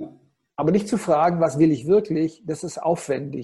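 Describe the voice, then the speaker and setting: The voice has a dark, mellow tone and sounds somewhat breathy. It moves at a moderate pace with ordinary pitch variation. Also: man. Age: 50s. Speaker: keynote coach and speaker. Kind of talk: interview. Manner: expressive.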